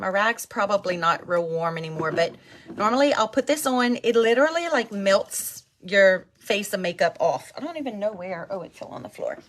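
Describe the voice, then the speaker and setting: A woman speaks while noticeable background noise carries on behind her. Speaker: skincare seller and vlogger. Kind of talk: casual live-stream product demo. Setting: live stream.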